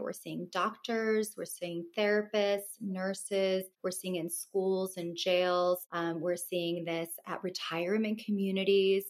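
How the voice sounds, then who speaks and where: At a moderate pace, a woman speaks with a West Coast American accent. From Los Angeles, Russian family. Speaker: wellness business owner. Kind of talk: interview.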